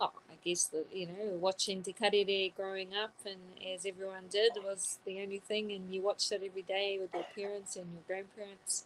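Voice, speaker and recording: A woman's medium-pitched voice in monotone, flat intonation at a moderate pace. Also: hardly any pauses. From New Zealand, Southland (Mataura), Māori. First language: te reo Māori. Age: 30s. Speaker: journalist. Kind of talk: interview.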